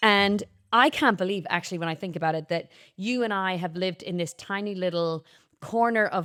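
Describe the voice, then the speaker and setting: Against a silent background in a very clean recording, a woman with an Irish accent speaks at a medium pitch with ordinary pitch variation. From Ireland. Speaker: podcast host, singer and actor. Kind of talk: casual chat.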